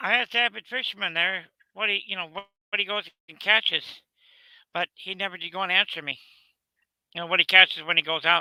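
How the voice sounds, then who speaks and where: A very fast pace broken by long, frequent pauses. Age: 60s. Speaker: retiree joining a livestream. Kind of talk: casual chat. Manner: halting.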